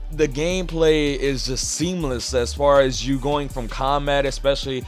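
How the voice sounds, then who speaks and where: A man at a moderate pace, music in the background. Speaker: gaming YouTuber. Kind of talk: casual talk to camera. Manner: casual, uses filler 'you know'.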